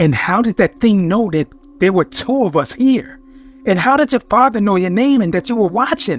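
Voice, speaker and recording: In a shaky, put-on character voice pitched high, a man speaks at a moderate pace with very even loudness and a dry, close sound with no echo. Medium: read story. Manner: whispering, shaky.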